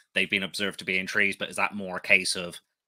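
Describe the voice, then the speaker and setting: With a Somerset accent, a man talks at a fairly quick pace in a fairly low pitch, his tone bright and sharp, the sound dry and close with no echo. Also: very clean recording, silent background. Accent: Somerset accent, noticeable. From Somerset, England. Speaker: podcast host, tarantula keeper. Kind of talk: casual chat. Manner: clear; hesitant, many fillers.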